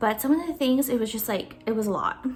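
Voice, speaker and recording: Over music in the background, a woman with a high pitch talks at a fairly quick pace. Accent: Filipino. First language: Tagalog. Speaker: budgeting YouTuber. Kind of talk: Q&A video, casual chat. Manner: casual, filler-heavy.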